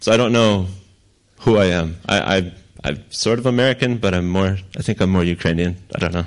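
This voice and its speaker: A man speaks with a very deep, low pitch and ordinary pitch variation. The background is quiet. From Ukraine. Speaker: missionary pastor. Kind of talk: sermon with interpreter. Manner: slow, with pauses for translation.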